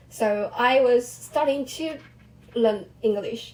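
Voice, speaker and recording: A woman with a fairly high voice speaks with ordinary pitch movement over noticeable background noise. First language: Chinese (Mandarin). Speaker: vlogger, language learner. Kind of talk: casual personal monologue. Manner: halting, self-correcting.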